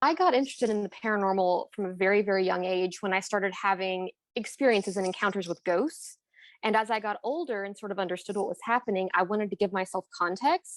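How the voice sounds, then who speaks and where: A woman with a Kentucky accent talks at a very fast pace and a medium pitch, with ordinary pitch variation. The sound is dry and close with no echo, on a very clean recording with a silent background. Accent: US Southern (Kentucky). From Kentucky, US. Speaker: paranormal researcher and writer. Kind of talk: interview self-introduction.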